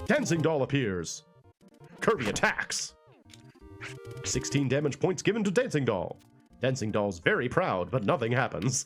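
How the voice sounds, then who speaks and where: With music in the background, a man at a medium pitch talks in a relaxed, playful tone at a moderate pace, keeping very even loudness through very wide pitch swings and long, frequent pauses. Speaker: let's play streamer. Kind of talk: casual gameplay commentary.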